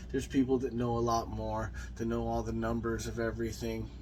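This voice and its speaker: A man talks at a medium tempo while the room's echo is audible. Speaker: motorcycle builder YouTuber. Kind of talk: casual walkthrough video. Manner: unscripted, halting with fillers.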